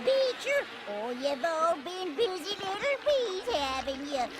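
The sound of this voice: A cartoonish character voice squeaks at an extremely high pitch and a fairly slow pace. Loud background noise runs underneath.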